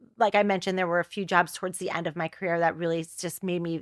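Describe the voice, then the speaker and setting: Speaking very fast in a fairly low pitch, a woman with a New Jersey accent keeps a monotone, flat intonation. The recording is very clean with a silent background and a dry, close sound with no echo. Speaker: choreographer and TV producer. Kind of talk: podcast interview. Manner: casual, halting with fillers.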